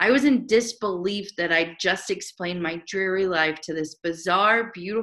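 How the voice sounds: This voice reads naturally, and its pitch varies in an ordinary way.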